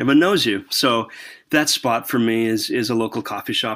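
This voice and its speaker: A normal speaking voice moves at a moderate pace. Its intonation is fairly even. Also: man. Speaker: church consultant. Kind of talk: casual interview conversation.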